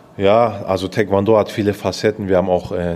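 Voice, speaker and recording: At a fairly quick pace, a man talks in a very deep, low pitch with monotone, flat intonation. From Stuttgart, Swabia (southwest Germany). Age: 20s. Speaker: taekwondo athlete. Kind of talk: interview.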